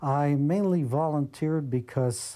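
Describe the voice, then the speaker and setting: Speaking in a Brooklyn accent, a man has a fairly high pitch and a dark, mellow tone with ordinary pitch variation. The recording is very clean, with a silent background. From Brooklyn, New York. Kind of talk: documentary interview testimony.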